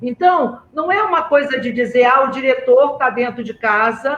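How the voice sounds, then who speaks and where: This man's voice sits at an extremely high pitch with ordinary variation. He talks at a fairly slow pace. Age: 60s. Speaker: school director. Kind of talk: webinar moderation. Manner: halting.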